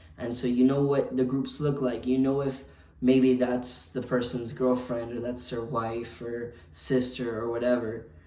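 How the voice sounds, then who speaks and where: A man with an American accent speaks at a fairly slow pace in a medium, monotone pitch. The recording has audible room echo and noticeable background noise. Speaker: hotel night clerk. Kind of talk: vlog monologue. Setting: hotel front desk at night. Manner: hesitant, many fillers.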